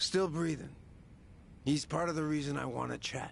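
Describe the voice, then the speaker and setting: A man performs a put-on character voice, drawling at a moderate pace. Clear background noise runs beneath him. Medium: video game. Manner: casual, drawling, slangy.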